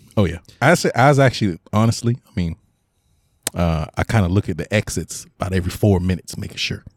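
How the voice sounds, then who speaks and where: A man talks in an ordinary speaking voice, fairly low in pitch, with ordinary pitch variation. The sound is dry and close, with no echo. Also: fairly quick pace. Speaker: podcast co-host. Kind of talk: casual chat.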